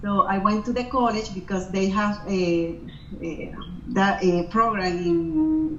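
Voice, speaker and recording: A woman with a Venezuelan accent speaks very slowly at medium pitch with lively intonation. Audible room echo and noticeable background noise accompany her. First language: Spanish. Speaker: wedding planner. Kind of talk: interview. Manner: halting, many fillers and restarts.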